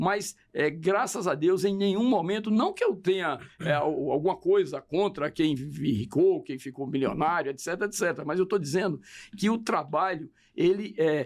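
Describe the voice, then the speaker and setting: On a very clean recording with a silent background, a man speaks at a moderate pace with a high pitch. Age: 70s. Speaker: politician. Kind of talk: interview.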